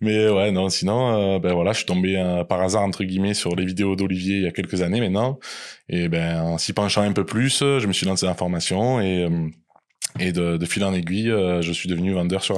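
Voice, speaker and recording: A man with a southern French accent speaks at a very deep, low pitch and a moderate pace, his loudness very even. The recording is very clean, with a silent background. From southern France, small village. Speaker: salaried employee and Amazon seller. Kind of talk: interview. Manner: hesitant, many fillers.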